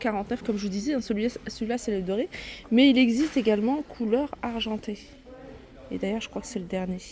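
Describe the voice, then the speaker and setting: The woman's pitch sits fairly high. It varies in an ordinary way. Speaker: shopping vlogger. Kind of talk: store walkthrough vlog. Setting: inside a discount store. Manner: soft-spoken.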